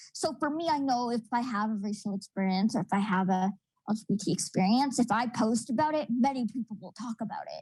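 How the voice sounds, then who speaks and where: Fairly high-pitched and somewhat breathy, a woman speaks at a fairly quick pace with ordinary pitch variation, her sound dry and close with no echo on a very clean recording with a silent background. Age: 20s. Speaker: university student, panelist. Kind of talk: panel discussion.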